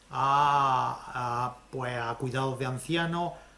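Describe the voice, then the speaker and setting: Medium pitch from a man, plus audible room echo. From Andalusia, Spain. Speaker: lecturer on social economy. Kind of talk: lecture.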